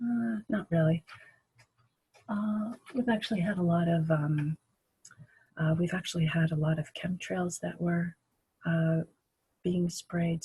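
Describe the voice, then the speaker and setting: Her voice is somewhat breathy, with a dark, mellow tone and a fairly low pitch. The woman speaks at a very slow pace with ordinary pitch variation. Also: dry, close sound with no echo. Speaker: video blogger. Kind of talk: casual vlog monologue. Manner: slow, many fillers; halting.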